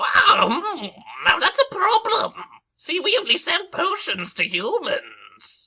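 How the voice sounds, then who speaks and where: Extremely high-pitched put-on character voice at a fairly slow pace. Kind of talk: comic game-dialogue read-aloud. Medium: game stream.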